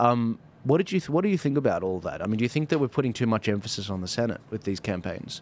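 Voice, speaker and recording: A man with an Australian accent talks at a very fast pace. His medium pitch makes very wide swings. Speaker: podcast host. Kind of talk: political interview chat. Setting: studio.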